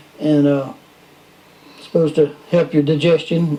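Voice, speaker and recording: In a Southern US accent, a man talks at a fairly slow pace with fairly even intonation over noticeable background noise. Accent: Southern US (Georgia). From US South. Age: 70s. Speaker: musician. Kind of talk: casual chat.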